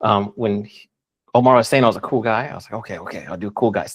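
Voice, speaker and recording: Speaking at a very fast pace and medium pitch, a man keeps his intonation fairly even while his loudness swings widely. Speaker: Amazon seller. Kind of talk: live webinar presentation.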